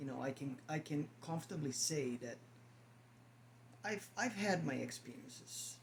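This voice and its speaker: A man speaks in a fairly high pitch with vocal fry and lively intonation. His pace is moderate, broken by long, frequent pauses. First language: not English. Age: 50s. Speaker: spiritual vlogger. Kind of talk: casual monologue to camera. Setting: at home, on camera. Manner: halting, repeats words.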